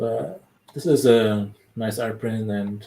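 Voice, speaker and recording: In a German accent, a man with a fairly low pitch speaks very slowly with fairly even intonation. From Germany. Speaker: collector and unboxing video host. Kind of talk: casual live-stream chat. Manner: halting, many fillers.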